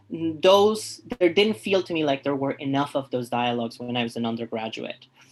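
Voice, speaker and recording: Moderate pace with noticeable background noise. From refugee background, grew up in Canada. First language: not English. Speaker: artist and professor. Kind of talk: interview. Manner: halting, repeats words.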